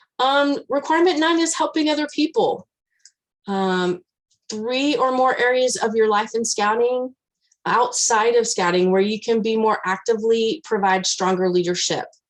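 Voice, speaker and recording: Delivered at a moderate pace, this voice carries a West Texas accent and lively intonation. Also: woman, fairly high pitch for a woman. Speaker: scout leader trainer. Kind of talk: training presentation. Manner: loud.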